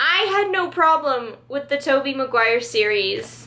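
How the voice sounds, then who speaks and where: A woman speaks in a high, raised and projected voice with lively intonation, and there is noticeable background noise. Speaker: beauty and lifestyle vlogger. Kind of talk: casual favorites vlog. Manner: loud; animated.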